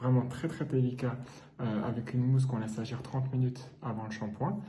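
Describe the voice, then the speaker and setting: A man talks fairly slowly at a medium pitch with fairly even intonation. Noticeable background noise is present. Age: 40s. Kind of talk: casual vlog talk to camera. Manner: hesitant, many fillers.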